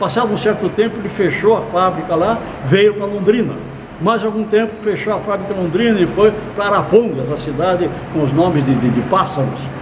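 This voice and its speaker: Over noticeable background noise and audible room echo, a man with a high voice talks fairly quickly in lively intonation. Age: 70s. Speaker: accounting professor. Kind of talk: online course lecture. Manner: halting.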